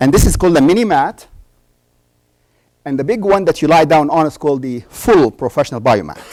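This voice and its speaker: A man speaks at a fairly quick pace. His voice is fairly high, with lively intonation. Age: 60s. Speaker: doctor and conference speaker. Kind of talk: conference talk. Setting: stage with audience. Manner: animated.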